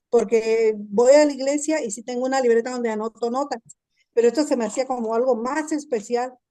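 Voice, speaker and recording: The voice carries a dark, mellow tone with fairly even intonation. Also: woman. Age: 60s. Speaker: class participant sharing testimony. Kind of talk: testimony. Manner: halting.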